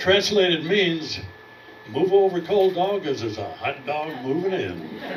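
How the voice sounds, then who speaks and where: A man's high-pitched voice, fairly slow and with lively intonation, plus noticeable background noise and audible room echo. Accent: American. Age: 80s+. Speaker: comedy student. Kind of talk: stand-up. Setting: stage with audience.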